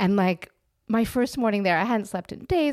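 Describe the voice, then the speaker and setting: A woman speaks with lively intonation. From Canada, Toronto. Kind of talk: casual chat.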